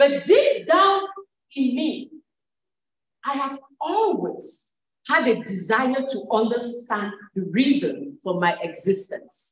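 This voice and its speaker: A woman speaks very slowly in a high voice, her pitch swinging very widely, with long, frequent pauses. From Cameroon. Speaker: life coach and pharmacist. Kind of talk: event speech.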